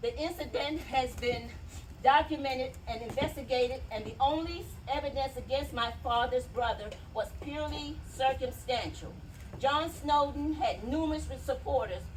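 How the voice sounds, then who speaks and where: A woman talks at an average speed, and the room's echo is audible around her words. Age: 60s. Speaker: family member speaking at a memorial event. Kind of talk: public speech and reading a letter aloud. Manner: emphatic.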